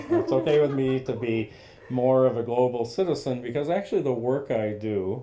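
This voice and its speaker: A man talks with an American accent in a normal speaking voice. His pace is moderate and his pitch variation ordinary. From central US, partly raised abroad. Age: 60s. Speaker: leadership coach. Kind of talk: interview.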